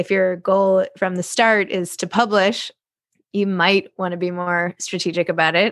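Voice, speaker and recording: A woman has a plain, everyday voice at a medium pitch, with fairly even intonation and a moderate pace. The recording is very clean with a silent background. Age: 40s. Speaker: podcast host and author. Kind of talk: interview.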